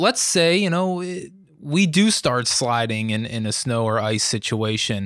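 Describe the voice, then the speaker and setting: Speaking fairly slowly at a medium pitch, a man with an American accent is heard on a very clean recording against a silent background. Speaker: meteorologist podcast co-host. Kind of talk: casual chat. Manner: jovial.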